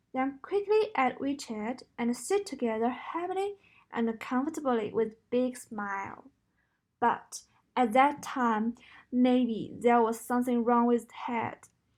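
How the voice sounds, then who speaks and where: Very slowly and at a high pitch, a woman speaks with a Chinese accent in a very clean recording with a silent background. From China. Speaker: university student. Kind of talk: recorded class presentation.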